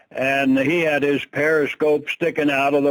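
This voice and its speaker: A man speaks at a fairly slow pace. His fairly high pitch holds a monotone, flat intonation. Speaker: WW2 veteran and ship sinking survivor. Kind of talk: interview answer, recounting wartime experience. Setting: interview.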